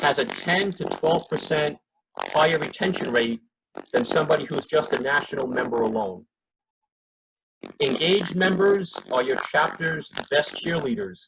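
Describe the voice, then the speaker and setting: A plain, everyday voice from a man with a fairly high pitch, an American accent, a moderate pace and lively intonation. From New Jersey. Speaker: membership services manager. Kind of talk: presentation on a conference call.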